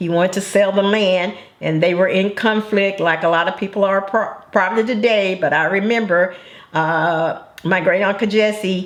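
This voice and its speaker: Noticeable background noise sits behind the speaker. She is a woman with a medium pitch and fairly even intonation. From Arkansas. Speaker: grandmother. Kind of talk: interview answer.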